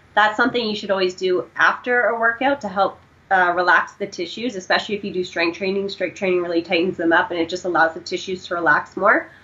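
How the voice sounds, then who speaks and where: With a Canadian accent, a woman speaks at a very fast pace with hardly any pauses. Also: medium pitch for a woman, ordinary pitch variation. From Canada. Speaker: powerlifting and running coach. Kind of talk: casual interview.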